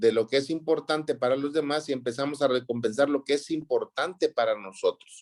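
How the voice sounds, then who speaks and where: Delivered at a fairly quick pace, an ordinary speaking voice comes through with a dry, close sound and no echo. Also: man. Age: 60s. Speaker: counseling teacher. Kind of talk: lecture.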